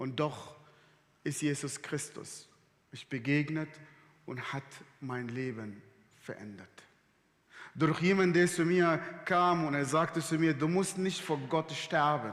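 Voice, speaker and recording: Through audible room echo, a man speaks very slowly with long, frequent pauses. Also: fairly high pitch for a man, ordinary pitch variation. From Sudan. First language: Arabic (speaking German). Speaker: guest preacher. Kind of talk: sermon. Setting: church service livestream.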